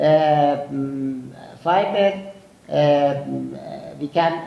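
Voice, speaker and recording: A man with a fairly high-pitched voice speaks over noticeable background noise, with audible echo in the room. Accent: strong eastern Iranian. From Iran, Zabol (Sistan and Baluchestan). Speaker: physician and nutrition researcher. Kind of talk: conference lecture. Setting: conference hall with audience. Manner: halting with many fillers.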